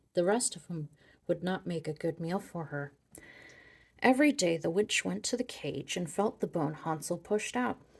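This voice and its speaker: A soft-spoken, somewhat breathy woman's voice, fairly low in pitch with lively intonation, on a very clean recording with a silent background. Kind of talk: soft-spoken ASMR storybook reading.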